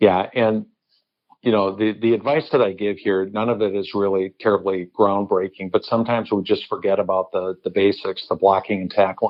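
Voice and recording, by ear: In an American accent, a man speaks with fairly even intonation at a fairly low pitch. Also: moderate pace.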